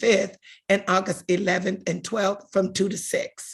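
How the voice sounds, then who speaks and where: A woman speaks at a fairly slow pace in a medium-pitched, somewhat breathy voice with fairly even intonation. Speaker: community organizer. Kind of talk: virtual town hall presentation. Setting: video call.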